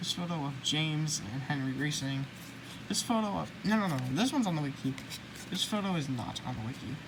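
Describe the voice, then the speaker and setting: With audible room echo, a speaker with an American accent talks at a fairly quick pace using lively intonation. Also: woman, very deep, low pitch for a woman. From United States. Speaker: YouTuber, toy book collector. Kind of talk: casual show-and-tell video. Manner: fast; halting, self-correcting.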